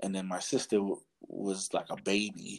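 A man speaks with a New York accent. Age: 30s. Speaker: podcaster. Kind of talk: casual chat.

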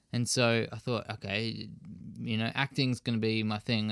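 A man with an Australian accent speaks at a fairly quick pace and medium pitch in a monotone, flat intonation, with a dry, close sound with no echo in a very clean recording with a silent background. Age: 20s. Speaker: fitness enthusiast and MMA trainee. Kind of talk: casual interview.

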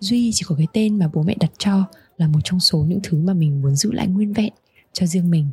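A woman with a Hanoi accent speaks at a medium pitch and a fairly quick pace, her tone dark and mellow and somewhat breathy, with ordinary pitch variation. Her loudness stays very even, and the sound is dry and close with no echo. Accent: Hanoi Vietnamese. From Hanoi, northern Vietnam. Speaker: podcast host. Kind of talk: scripted narration.

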